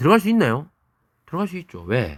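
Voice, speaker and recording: A man with a Daegu accent talks at a fairly quick pace with very wide pitch swings on a very clean recording with a silent background. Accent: Daegu dialect, remarked by self. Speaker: biology teacher. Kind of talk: lecture. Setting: recorded video lesson. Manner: casual, conversational with dialect asides.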